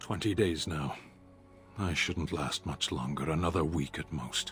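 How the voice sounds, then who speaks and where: Over clear background music, a man does a put-on character voice, very deep and low, at a moderate pace. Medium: video game. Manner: slow, formal, emotionless.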